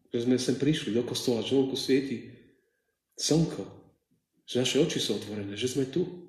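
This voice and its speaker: A somewhat breathy man's voice at a medium pitch, with audible room echo. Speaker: preacher. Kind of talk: sermon. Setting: church.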